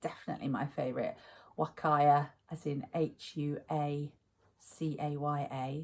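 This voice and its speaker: A woman speaks in a very deep, low pitch. Her delivery is monotone and flat at a fairly slow pace. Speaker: crafting vlogger. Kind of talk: casual vlog talk.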